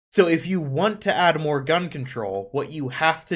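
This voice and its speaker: Lively in intonation, a man with an American accent and an unremarkable speaking voice talks at a moderate pace. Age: 20s. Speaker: podcast host. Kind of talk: casual chat. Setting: livestream.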